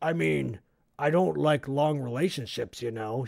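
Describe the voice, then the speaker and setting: Someone uses a gruff, put-on character voice at a moderate pace. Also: man, medium pitch for a man. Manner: manly, gruff.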